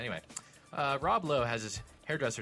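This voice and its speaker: Music in the background behind a man talking at a very fast pace. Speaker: podcast co-host.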